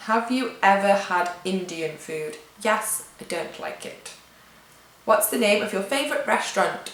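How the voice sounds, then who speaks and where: Heard with audible room echo and noticeable background noise, a woman talks at a fairly slow pace and medium pitch, with ordinary pitch variation and big swings in loudness. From England. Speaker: vlogger. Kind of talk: casual Q&A vlog. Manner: chatty.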